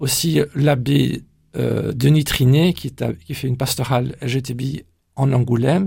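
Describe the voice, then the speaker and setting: A man's dark, mellow tone with vocal fry, fairly even intonation and a very slow pace. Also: medium pitch for a man. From Brussels, Belgium (Flemish parents). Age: 60s. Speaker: church pastoral coordinator. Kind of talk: radio interview. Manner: halting, frequent hesitations.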